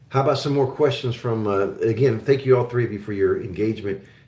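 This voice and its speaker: A man's somewhat breathy voice at a moderate pace. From Oklahoma, US. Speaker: investment show host. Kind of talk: live-stream Q&A chat. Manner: casual, hesitant with many fillers.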